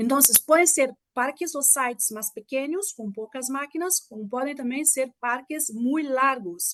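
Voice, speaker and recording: A woman with a Portuguese accent speaks at a high pitch with ordinary pitch variation and big swings in loudness. Her fairly slow pace has hardly any pauses, and the sound is dry and close with no echo. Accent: Portuguese-tinged Spanish. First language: Portuguese (speaking Spanish). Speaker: mechanical engineer, guest lecturer. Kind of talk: lecture.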